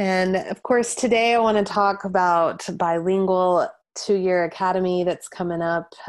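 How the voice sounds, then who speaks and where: Here a woman has a normal speaking voice at medium pitch with ordinary pitch variation. She speaks at a fairly slow pace. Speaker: podcast host. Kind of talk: interview conversation. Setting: video call.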